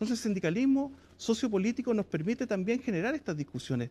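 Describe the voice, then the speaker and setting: A man speaks very fast in a dark, mellow tone. His pitch swings very widely. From Chile. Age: 40s. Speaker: trade union leader; guest. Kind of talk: TV interview. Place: studio. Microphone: lapel.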